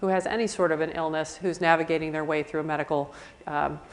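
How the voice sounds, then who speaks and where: A woman talks with an American accent. Her pace is fairly quick. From US Midwest. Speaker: palliative care physician. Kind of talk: conference talk. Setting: conference session with live audience. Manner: fast.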